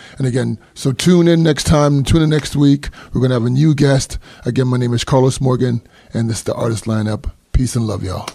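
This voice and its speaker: Speaking at a fairly quick pace, a man has a dark, mellow tone that is somewhat breathy. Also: medium pitch for a man, ordinary pitch variation. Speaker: podcast host. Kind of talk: casual interview.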